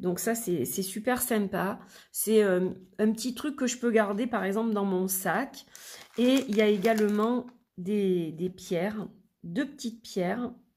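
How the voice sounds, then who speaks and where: Very clean and silent behind her, a woman speaks very slowly in a fairly high, somewhat breathy voice with ordinary pitch variation. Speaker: tarot and oracle card reader, YouTuber. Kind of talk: product review, unboxing. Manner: chatty, with frequent fillers.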